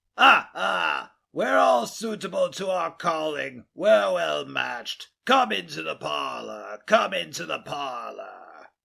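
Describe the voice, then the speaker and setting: A raspy, put-on character voice delivers the lines at a fairly slow pace. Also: man, hardly any pauses. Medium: read story. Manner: wheedling, haggling.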